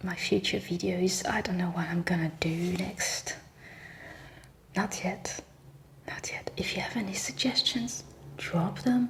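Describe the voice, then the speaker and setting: The voice moves at a fairly slow pace in a relaxed tone with long, frequent pauses over noticeable background noise. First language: French. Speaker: ASMR reiki practitioner. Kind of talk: ASMR reiki session with casual chat. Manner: soft-spoken; rambling, relaxed.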